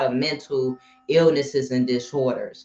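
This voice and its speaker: A woman with an American accent is heard over music in the background. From Cincinnati, Ohio. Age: 30s. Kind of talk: livestream talk on mental health. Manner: casual, filler-heavy.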